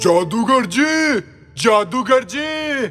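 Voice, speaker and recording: Over faint background music, a man does a put-on character voice at an extremely high pitch. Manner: shouting.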